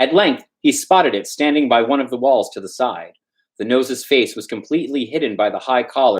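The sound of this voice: Over a quiet background, the text is read in an unforced reading voice with lively intonation.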